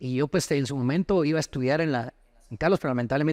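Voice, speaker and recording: A man talks at a very fast pace. The recording is dry and close, with no echo. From Costa Rica until ten, then Guatemala. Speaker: lawyer and former footballer. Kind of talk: interview.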